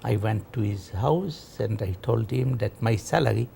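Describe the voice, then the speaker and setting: Speaking at a fairly slow pace, a man has a dark, mellow tone with vocal fry. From Egypt. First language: French. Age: 80s+. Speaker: interviewee telling life story. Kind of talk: life story interview.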